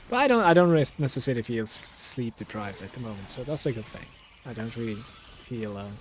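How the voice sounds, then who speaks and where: A man speaks at a medium pitch and a very fast pace, with ordinary pitch variation, big swings in loudness and noticeable background noise. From Turkey. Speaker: gaming streamer. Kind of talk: live gameplay stream chat. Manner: casual, relaxed.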